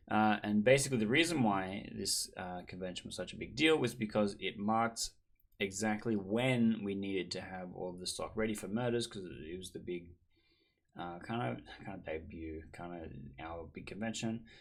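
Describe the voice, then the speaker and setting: The speaker has an Australian accent and lively intonation at a moderate pace. Loudness rises and falls sharply. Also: man, fairly low pitch for a man. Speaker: board game designer, vlogger. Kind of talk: casual vlog recap.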